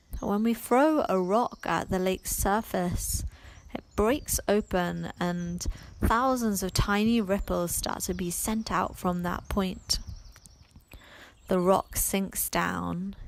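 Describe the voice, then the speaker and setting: Speaking at a very slow pace, a woman uses a calm, soothing tone at medium pitch with ordinary pitch variation. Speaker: yoga and meditation teacher. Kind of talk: guided meditation. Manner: slow, calm, soothing, with long pauses.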